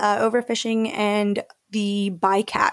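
With an enthusiastic tone, a woman speaks at a medium pitch. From Mexico, later raised in the US. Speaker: shark scientist and wildlife educator. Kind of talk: radio interview.

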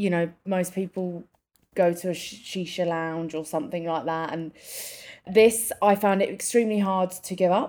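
A woman's medium-pitched voice with fairly even intonation, in a very clean recording with a silent background. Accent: English. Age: 30s. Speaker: podcast co-host. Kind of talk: casual chat.

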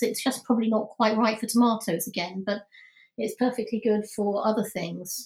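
A woman with a British accent at a fairly quick pace. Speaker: podcast host. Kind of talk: casual interview. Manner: talkative.

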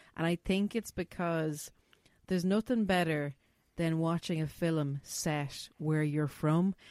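A woman with an Irish accent speaks at a fairly slow pace with a fairly low pitch and ordinary pitch variation. Her loudness is very even, and the sound is dry and close with no echo. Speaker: podcast host. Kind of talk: casual chat. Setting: video call.

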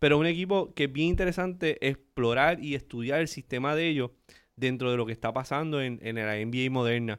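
A man's medium-pitched delivery runs fairly quickly in an ordinary speaking voice, with ordinary pitch variation. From Aguadilla, Puerto Rico. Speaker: entrepreneur and writer. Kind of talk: casual sports chat.

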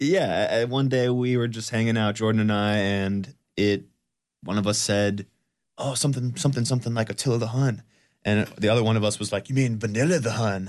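A man with an ordinary speaking voice talks at a fairly quick pace with a medium pitch and ordinary pitch variation. The background is quiet. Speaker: band member. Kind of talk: casual interview banter. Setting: radio studio. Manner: jokey, upbeat, talkative.

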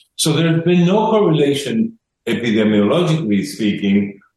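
Here a man is speaking. His intonation is lively. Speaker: health expert. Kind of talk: radio interview. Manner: halting.

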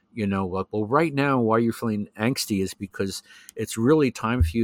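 A man with a normal speaking voice at medium pitch, ordinary pitch variation and a fairly quick pace, in a dry, close sound with no echo on a very clean recording with a silent background. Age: 60s. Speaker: professional astrologer. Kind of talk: casual interview conversation.

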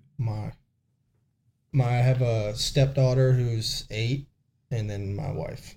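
Somewhat breathy and dark, mellow in tone, a man with an American accent speaks at medium pitch and a very slow pace, with fairly even intonation and long, frequent pauses. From US South, coastal South Carolina. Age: young. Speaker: police SWAT officer. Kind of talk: interview testimony.

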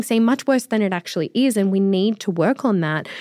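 In an Australian accent, a woman talks at a fairly quick pace with a medium pitch. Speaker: finance podcast host. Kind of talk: casual chat. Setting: studio.

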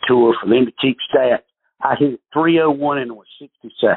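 A man with a Southern US accent talks at a very slow pace. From North Carolina. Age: 50s. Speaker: professional golfer. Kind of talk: interview.

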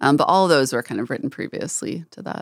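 A woman speaks in a very deep, low pitch with vocal fry and ordinary pitch variation. The recording is very clean, with a silent background and a dry, close sound with no echo. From North Texas (Wichita Falls). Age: 30s. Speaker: singer-songwriter. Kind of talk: interview.

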